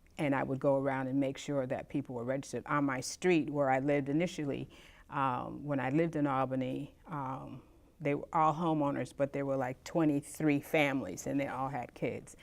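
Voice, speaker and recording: Over a silent background in a very clean recording, a woman with vocal fry and a very deep, low pitch speaks at a fairly quick pace in a monotone, flat way. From Montgomery, Alabama, USA. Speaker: civil rights era witness, voting volunteer. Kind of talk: interview answer.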